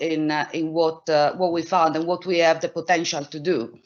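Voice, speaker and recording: A woman speaks with an Italian accent. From Italy, Milan. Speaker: professor, immunologist. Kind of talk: scientific presentation. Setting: online event.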